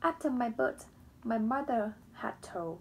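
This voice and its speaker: The woman speaks with a non-native accent. Her pace is very slow and her pitch swings very widely. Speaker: book reader. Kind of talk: reading aloud; casual chat. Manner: halting.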